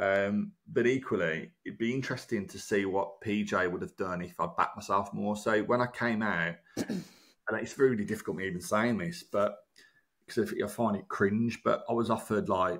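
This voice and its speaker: A man with a Birmingham accent speaks at a moderate pace with a fairly low pitch and ordinary pitch variation. The recording is very clean, with a silent background. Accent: Brummie. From Birmingham, England. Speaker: broadcaster and former reality TV contestant. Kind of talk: casual interview chat.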